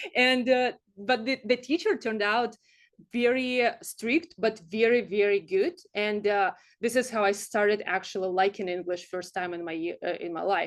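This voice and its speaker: Over a quiet background, a woman with a Russian accent speaks at a moderate pace in a fairly high pitch with ordinary pitch variation. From Siberia, Russia. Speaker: startup founder. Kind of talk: presentation. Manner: hesitant, many fillers.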